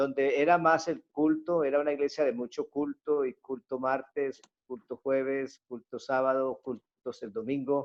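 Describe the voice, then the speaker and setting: In a normal speaking voice, a man talks at a fairly slow pace with hardly any pauses. His pitch is fairly high and his intonation fairly even. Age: 50s. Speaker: pastor. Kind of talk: testimony.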